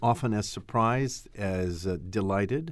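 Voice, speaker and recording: In a very clean recording with a silent background, a man speaks in a plain, everyday voice. He keeps a moderate pace and ordinary pitch variation. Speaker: opera company artistic director and podcast host. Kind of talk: interview conversation.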